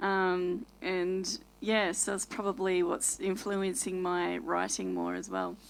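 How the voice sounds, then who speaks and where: A woman speaks at a very slow pace with hardly any pauses on a very clean recording with a silent background. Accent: Australian. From Australia. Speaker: worship musician. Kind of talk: casual interview chat.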